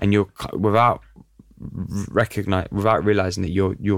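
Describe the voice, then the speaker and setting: A man with a London accent speaks fairly quickly in a very deep, low voice. His intonation is flat and monotone, and the recording is very clean with a silent background. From North London, Italian community. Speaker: podcast host. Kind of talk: interview. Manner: casual, filler-heavy.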